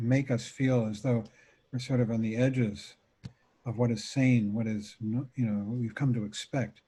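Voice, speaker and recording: A man talks at a fairly slow pace in a medium-pitched, somewhat breathy voice. His tone is dark and mellow, with monotone, flat intonation. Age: 70s. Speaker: meditation teacher. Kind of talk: dharma talk. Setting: video call.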